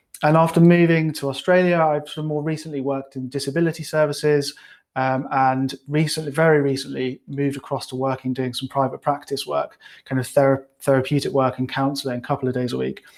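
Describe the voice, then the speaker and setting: Speaking very fast in a British accent, a man with a fairly high pitch keeps a monotone, flat intonation. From UK. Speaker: clinical psychologist and coach. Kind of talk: webinar presentation. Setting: live online webinar. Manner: casual, many fillers.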